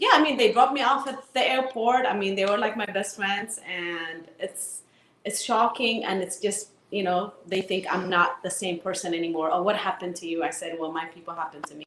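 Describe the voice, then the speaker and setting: Against noticeable background noise, a woman with an Eritrean accent talks at a fairly quick pace and medium pitch with ordinary pitch variation. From Tigray, Ethiopia. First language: Tigrinya. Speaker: activist. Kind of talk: interview. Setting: live online broadcast.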